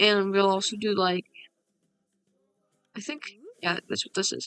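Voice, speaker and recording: Soft-spoken and fairly slow, a woman with a medium pitch, ordinary pitch variation and a bright, sharp tone is heard in a dry, close sound with no echo. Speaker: gaming youtuber. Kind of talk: casual gameplay commentary. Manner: soft-spoken, talking quieter. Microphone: voice a bit quiet.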